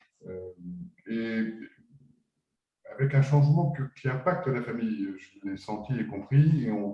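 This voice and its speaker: Very slow and somewhat breathy, the voice has a dark, mellow tone, ordinary pitch variation, big swings in loudness and long, frequent pauses. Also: man. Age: 60s. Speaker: business founder. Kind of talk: webinar discussion. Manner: halting, many hesitations.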